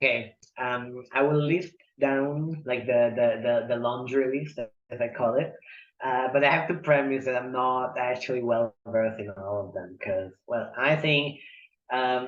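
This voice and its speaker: A man at a fairly slow pace with an Italian accent, medium pitch and ordinary pitch variation. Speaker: poet and polyglot. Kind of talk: interview conversation.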